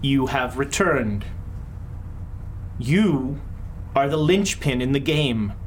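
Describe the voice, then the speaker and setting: Speaking in a put-on character voice at a low-to-middle pitch, the speaker goes fairly slowly with long, frequent pauses. Clear background noise runs underneath. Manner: ominous.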